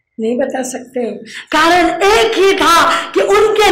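A woman speaks at an extremely high pitch and a very slow pace. There is audible room echo and light background noise. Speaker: religious teacher. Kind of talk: sermon. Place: hall. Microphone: handheld.

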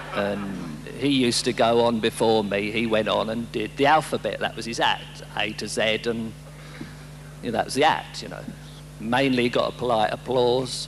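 Background music is present. The speaking pace is moderate. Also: man. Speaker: stand-up comedian. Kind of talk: live stand-up routine. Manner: deadpan. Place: stage. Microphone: handheld.

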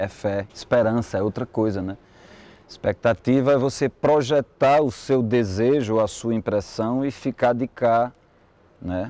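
The voice has a dark, mellow tone and ordinary pitch variation, moving at a fairly slow pace in a dry sound with no echo. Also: man, medium pitch for a man. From São José do Egito, Pernambuco, Brazil; Pernambuco, Brazil. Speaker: poet and musician; poet. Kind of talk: interview testimony. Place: street. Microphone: lapel.

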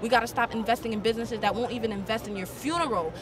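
Over noticeable background noise, a woman speaks in an animated tone, the sound dry with no echo. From Haiti. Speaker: protester; interviewee. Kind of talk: street interview. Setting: outdoors at a march. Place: street. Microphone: handheld.

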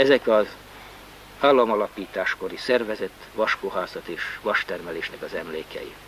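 Over faint background noise, a man speaks in a low voice with lively intonation and a fairly bright tone.

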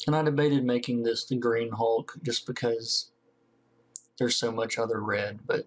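Speaking with a Southern US accent, a man of medium pitch keeps his loudness very even and his intonation fairly even. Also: moderate pace. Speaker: comic book colorist. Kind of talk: tutorial narration over screen recording. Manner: casual, hesitant with many fillers.

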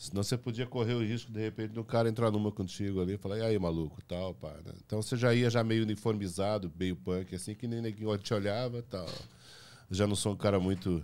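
A man at a fairly low pitch and fairly quick pace, with fairly even intonation over light background noise. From Paraná, Brazil. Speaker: playwright and theatre director; podcast guest. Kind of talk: casual interview chat. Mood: relaxed storytelling. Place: studio. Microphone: studio mic.

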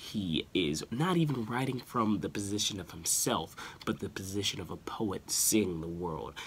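A soft-spoken man with a fairly low pitch and very wide pitch swings, at a moderate pace over light background noise. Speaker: music commentator, video creator. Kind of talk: casual talk to camera, music commentary. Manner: soft-spoken, quiet. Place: home room. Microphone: phone near.

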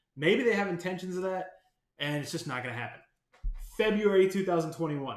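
Amid audible room echo, a man with a high pitch talks in an animated tone at a fairly quick pace, his intonation lively. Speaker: gaming YouTuber. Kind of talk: angry rant about game developer, ranting with swearing. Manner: irritated, sarcastic. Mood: frustrated, venting.

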